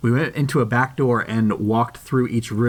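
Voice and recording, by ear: A passage is read aloud in a natural voice, the intonation staying fairly even.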